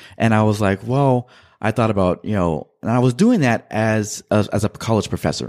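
A man with an American accent, fairly low in pitch and dark and mellow in tone, with ordinary pitch variation, in a very clean recording with a silent background and a dry, close sound with no echo. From California, Central Valley. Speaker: bookkeeper, army veteran. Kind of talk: radio interview. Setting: studio. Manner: hesitant, many fillers.

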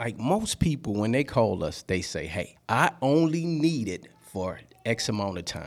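With a Louisiana accent, a man talks at a fairly slow pace with hardly any pauses. His pitch swings very widely. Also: medium pitch for a man. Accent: Louisiana Southern US. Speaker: party rental business owner. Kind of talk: radio interview. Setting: studio.

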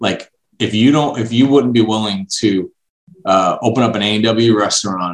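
A man with an American accent speaks at a fairly low pitch. It is an ordinary speaking voice. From Brooklyn, New York. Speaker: franchise development executive. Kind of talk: interview.

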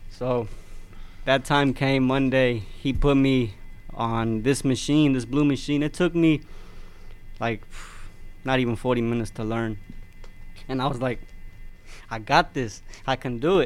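At a very slow pace with long, frequent pauses, a man talks in a medium pitch with fairly even intonation. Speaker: machine operator. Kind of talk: interview.

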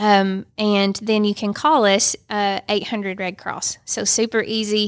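A woman in a Georgia accent, medium in pitch, monotone and flat, at a very slow pace, in a very clean recording with a silent background. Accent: US Southern (Georgia). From Northwest Georgia, Dalton. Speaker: Red Cross chapter executive director. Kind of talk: casual chat.

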